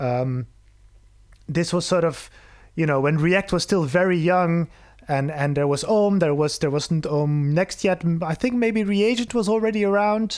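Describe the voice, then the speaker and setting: In a Flemish accent, a man speaks at a high pitch and a fairly slow pace with lively intonation. His loudness is very even, and the recording is very clean with a silent background. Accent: Belgian (Flemish) accent in English. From Belgium. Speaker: software developer and programming educator. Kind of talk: casual interview conversation.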